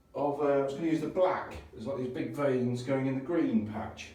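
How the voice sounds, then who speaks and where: Audible echo fills the room. A man talks over noticeable background noise. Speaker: DIY renovator. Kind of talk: DIY tutorial video. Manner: casual, hesitant with fillers.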